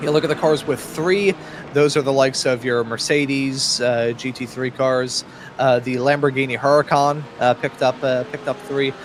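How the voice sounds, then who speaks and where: A man talks with an American accent and fairly even intonation. Noticeable background noise can be heard. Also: medium pitch for a man, moderate pace. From US Northeast, Philadelphia. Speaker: sim racing commentator. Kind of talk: live commentary.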